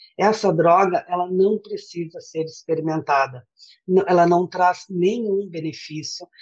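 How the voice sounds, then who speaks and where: A woman speaks in a plain, everyday voice, fairly low-pitched with ordinary pitch variation, at a fairly slow pace. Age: 50s. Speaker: volunteer teacher and former smoker. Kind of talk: interview testimony.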